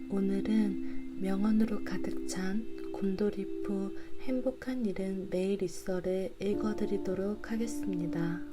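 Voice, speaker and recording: Over music in the background, a woman speaks at a very slow pace in a calm, soothing tone, with very even loudness and hardly any pauses. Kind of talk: sleep-aid book reading for insomnia; audiobook reading, self-help book narration. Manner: calm, soft, soothing ASMR-style.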